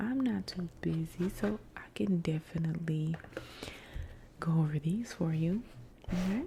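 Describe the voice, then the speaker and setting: Soft-spoken and somewhat breathy, a woman talks at a fairly slow pace in a gentle, dark, mellow tone. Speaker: ASMR content creator doing a librarian roleplay. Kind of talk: ASMR roleplay, helpful library desk service. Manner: soft-spoken, gentle.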